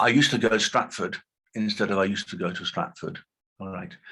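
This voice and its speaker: A very fast man's voice with a British accent, very wide pitch swings and a bright, sharp tone. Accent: RP, received pronunciation. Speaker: linguistics professor. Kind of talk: lecture. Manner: halting, many fillers.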